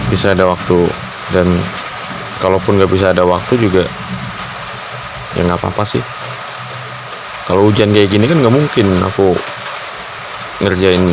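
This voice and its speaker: A man with a very deep, low pitch speaks at a moderate pace with long, frequent pauses. His intonation is fairly even, his loudness very even, and there is noticeable background noise. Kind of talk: boyfriend roleplay ASMR, soft talk to a partner. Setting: recorded with real rain sound in the background. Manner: soft-spoken, intimate, relaxed.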